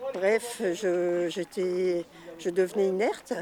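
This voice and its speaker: A woman talks over noticeable background noise. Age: 60s. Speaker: trail participant with lung disease. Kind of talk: interview testimony.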